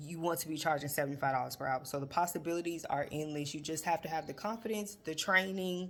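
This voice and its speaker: A very deep, low-pitched woman at a very fast pace, hardly any pauses, ordinary pitch variation. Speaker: financial educator and bookkeeper. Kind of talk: casual talk to camera.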